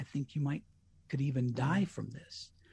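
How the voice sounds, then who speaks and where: The speaker has an American accent and a dark, mellow tone. The voice is somewhat breathy. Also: man, quiet background. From US Colorado. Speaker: radio host with MS. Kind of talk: casual interview.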